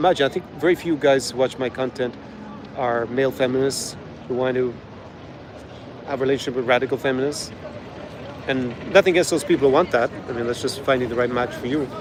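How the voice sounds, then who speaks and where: A man speaks at a very fast pace with long, frequent pauses and fairly even intonation. Background noise is noticeable. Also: medium pitch for a man. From Ireland. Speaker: travel vlogger. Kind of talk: live stream chat reading viewer questions. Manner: casual, with fillers and repetitions.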